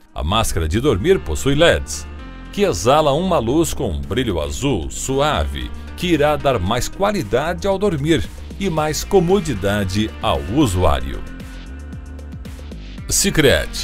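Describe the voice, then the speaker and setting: A man at a very slow pace with long, frequent pauses and music in the background. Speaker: voice-over announcer. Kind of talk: tech product narration.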